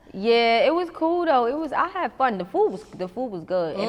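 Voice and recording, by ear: Pitch swings very widely as the voice moves at a moderate pace over noticeable background noise. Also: woman, high pitch for a woman.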